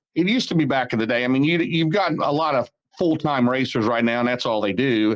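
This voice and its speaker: A man talks in a normal speaking voice. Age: 60s. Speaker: race announcer and series promoter. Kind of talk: interview.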